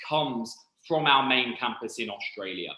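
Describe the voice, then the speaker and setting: A man with a British accent talks at a moderate pace. His bright, sharp voice sits fairly high, with ordinary pitch variation. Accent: very British. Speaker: university recruitment representative. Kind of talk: presentation. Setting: online presentation.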